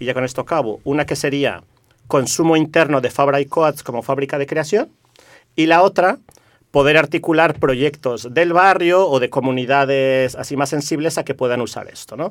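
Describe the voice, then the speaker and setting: Delivery moves at a moderate pace. Pitch varies in an ordinary way. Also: man, fairly high pitch for a man. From Mexico. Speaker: community network activist. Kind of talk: radio interview.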